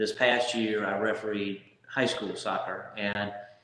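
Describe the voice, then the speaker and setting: A man at a very slow pace and fairly low pitch, with audible room echo. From Louisiana. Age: 60s. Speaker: local businessman and soccer referee. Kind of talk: interview.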